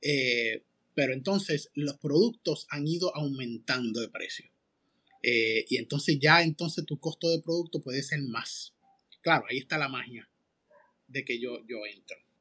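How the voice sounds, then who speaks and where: At a fairly slow pace and with ordinary pitch variation, the speech sounds dry and close, with no echo and a quiet background. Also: man, fairly high pitch for a man. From Puerto Rico, Manatí. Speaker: restaurant consultor and podcast host. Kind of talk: casual interview. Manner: halting, many fillers.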